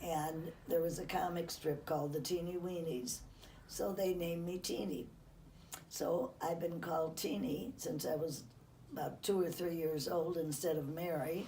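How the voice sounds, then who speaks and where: A woman with an American accent speaks at a moderate pace in a fairly low pitch with ordinary pitch variation, with audible room echo and noticeable background noise. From US Midwest, Chicago outskirts. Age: 90s. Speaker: interviewee recounting her life. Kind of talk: life-story interview. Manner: halting.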